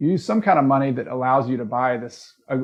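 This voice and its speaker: This man's pitch moves in an ordinary way. He speaks very rapidly. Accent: Southern US. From US South. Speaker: real estate investing coach. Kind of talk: educational tutorial.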